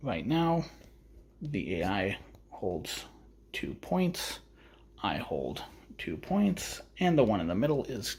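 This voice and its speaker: Speaking very slowly and quietly with vocal fry, this voice makes very wide pitch swings and leaves long, frequent pauses. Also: man, medium pitch for a man. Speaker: tabletop gaming youtuber. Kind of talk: solo wargame playthrough commentary. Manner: quiet, low energy.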